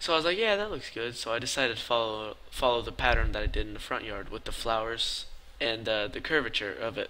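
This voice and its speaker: A quiet man at a very fast pace. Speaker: gaming YouTuber. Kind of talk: voice-over commentary. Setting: late at night, recorded commentary.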